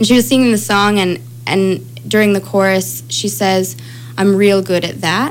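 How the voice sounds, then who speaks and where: A woman with an American accent speaks at a medium pitch and a fairly slow pace. Noticeable background noise is present. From Chicago. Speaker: singer-songwriter. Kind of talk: casual chat. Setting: studio.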